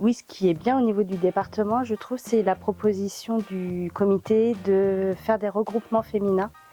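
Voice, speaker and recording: Someone speaks at a moderate pace with fairly even intonation while music plays in the background. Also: woman, medium pitch for a woman, hardly any pauses. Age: 40s. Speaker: amateur table tennis player. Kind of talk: interview testimony. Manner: hesitant, many fillers.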